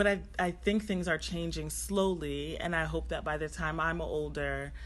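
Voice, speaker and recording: A woman talks at a moderate pace. Audible echo from the room surrounds her voice. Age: 30s. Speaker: junior doctor. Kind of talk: casual chat.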